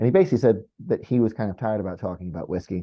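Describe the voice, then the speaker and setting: A man's very fast delivery with fairly even intonation. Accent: American. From Toronto, Canada. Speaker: brand ambassador for a whisky distributor. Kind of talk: online whisky tasting. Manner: monotone; not loud.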